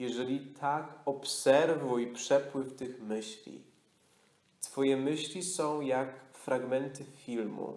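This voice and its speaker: In a calm, soothing tone, a man with a Polish accent speaks at a very slow pace. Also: medium pitch for a man, fairly even intonation. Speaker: yoga nidra teacher. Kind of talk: guided meditation. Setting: retreat studio with a live group. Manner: slow, calm, soothing, with long pauses; soft-spoken, hypnotic, repetitive.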